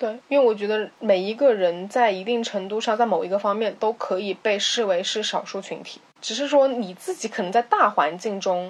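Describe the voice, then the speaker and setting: A woman speaks at a fairly high pitch with ordinary pitch variation, in an unremarkable speaking voice. Her pace is moderate, with hardly any pauses. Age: 20s. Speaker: podcast co-host. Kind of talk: casual chat.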